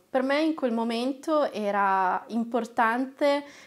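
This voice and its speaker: In a quiet background, a woman is talking. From northern Italy, Lombardy (Castiglione delle Stiviere); Lombardy, Italy. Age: 20s. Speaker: trainee lawyer and activist; trainee lawyer. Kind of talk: personal testimony to camera. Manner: hesitant, frequent filler sounds. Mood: warm, reflective. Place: studio.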